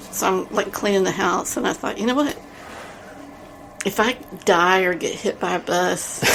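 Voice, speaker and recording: Over noticeable background noise, a woman with a strong Texas accent talks at a moderate pace and medium pitch, with ordinary pitch variation and long, frequent pauses. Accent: big Texas. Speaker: podcast co-host. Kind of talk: casual chat.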